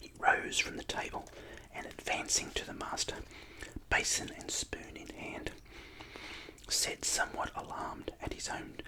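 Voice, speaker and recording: Someone whispers with an Australian accent at a moderate pace, with big swings in loudness, long and frequent pauses, and noticeable background noise. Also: man. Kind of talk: book reading. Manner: whispered.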